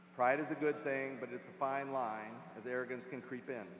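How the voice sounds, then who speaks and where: A man's medium-pitched voice at a fairly quick pace, with noticeable background noise. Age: 60s. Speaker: commencement speaker. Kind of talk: commencement speech.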